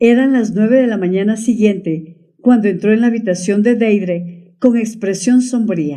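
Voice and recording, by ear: Someone is reading aloud in a natural voice, the pitch shifting in an ordinary way.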